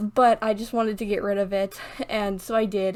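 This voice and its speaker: A woman's medium-pitched voice, fairly quick, with monotone, flat intonation. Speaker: gaming youtuber. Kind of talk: casual voiceover chat. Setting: home recording alone in room. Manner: fast.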